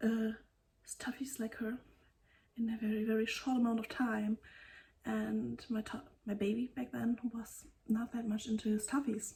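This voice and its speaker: Somewhat breathy and dark, mellow in tone, a woman with a German accent speaks at a moderate pace in a fairly high pitch, her intonation monotone and flat, with long, frequent pauses. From Germany. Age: 30s. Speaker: knitting podcaster. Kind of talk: casual vlog talk. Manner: halting.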